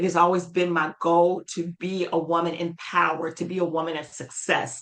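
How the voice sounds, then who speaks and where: A woman with an American accent, fairly low pitch and monotone, flat intonation, over noticeable background noise. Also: moderate pace. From US South, High Point, North Carolina. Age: 50s. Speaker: speaker and strategist. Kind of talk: interview conversation.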